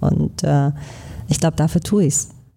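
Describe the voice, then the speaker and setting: A woman's dark, mellow tone at a fairly slow pace. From Hamburg, northern Germany. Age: 30s. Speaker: actress and musical performer. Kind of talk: live podcast conversation. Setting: stage with live audience.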